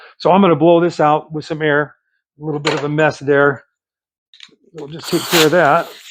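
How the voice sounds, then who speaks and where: Fairly high-pitched, a man speaks in a monotone, flat intonation, with long, frequent pauses and big swings in loudness. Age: 60s. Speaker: small engine repair YouTuber. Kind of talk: tutorial. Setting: outdoors in the cold. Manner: casual, halting with many fillers.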